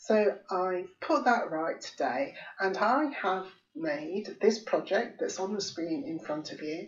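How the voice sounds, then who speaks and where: Speaking at a very slow pace, a woman uses a medium pitch. Her pitch swings very widely. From England. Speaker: craft tutorial channel host. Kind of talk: software tutorial. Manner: chatty, informal.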